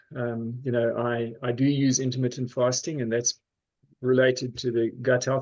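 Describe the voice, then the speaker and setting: The intonation is flat and monotone. It belongs to a man who is talking. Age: 60s. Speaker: pharmacist and health coach. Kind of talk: sales pitch. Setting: video call. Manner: halting.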